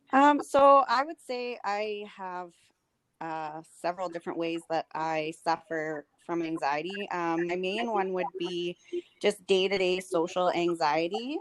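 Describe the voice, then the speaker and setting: At a fairly slow pace, a woman talks in an ordinary speaking voice, recorded with a dry, close sound and no echo. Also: medium pitch for a woman, ordinary pitch variation. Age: 30s. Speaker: podcast guest. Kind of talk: casual interview chat.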